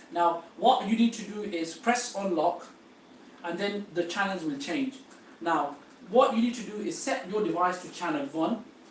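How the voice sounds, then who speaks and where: Over noticeable background noise, a man with a high pitch speaks at a moderate pace. His intonation is lively and his loudness swings widely. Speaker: travel agency tour organiser. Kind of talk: seminar briefing. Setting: live-streamed seminar. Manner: hesitant, many fillers.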